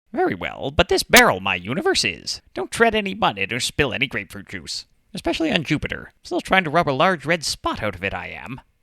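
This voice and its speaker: A cartoonish character voice at a very fast pace, with hardly any pauses. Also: man, fairly high pitch for a man. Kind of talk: comedic anime parody dub. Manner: odd inverted word order.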